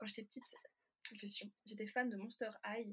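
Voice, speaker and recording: A woman speaks at a fairly quick pace in a fairly high, somewhat breathy voice. Her intonation stays fairly even. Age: 20s. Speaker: novelist and French teacher. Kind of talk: casual interview chat. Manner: hesitant, many fillers.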